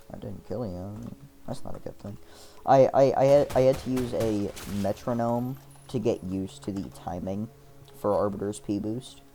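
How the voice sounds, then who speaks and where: With music in the background, a man speaks at a moderate pace in a fairly low pitch, showing ordinary pitch variation and big swings in loudness. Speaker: gaming streamer. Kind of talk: gameplay commentary. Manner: halting, repeats words; casual rambling.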